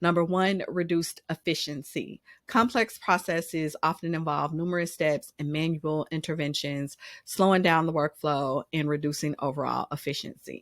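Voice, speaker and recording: Recorded very cleanly against a silent background, a woman with a very deep, low voice speaks at a moderate pace with fairly even intonation, the sound dry and close with no echo. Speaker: business consultant. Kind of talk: business advice monologue. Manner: casual, with frequent fillers.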